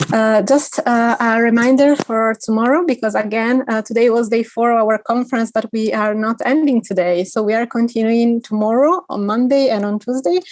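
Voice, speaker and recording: Moderate pace with hardly any pauses, ordinary pitch variation, and an Italian accent. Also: woman, fairly high pitch for a woman. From Italy. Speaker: conference organiser. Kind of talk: closing remarks at online conference.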